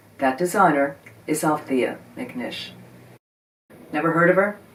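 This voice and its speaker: With an American accent, the words come out at a fairly slow pace. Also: woman. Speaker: video host on vintage scarves. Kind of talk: scripted narration.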